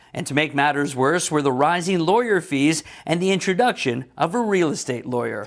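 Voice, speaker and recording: A man speaks with fairly high pitch and lively intonation. He has a normal speaking voice. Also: moderate pace. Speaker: news videographer and reporter. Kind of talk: news report narration.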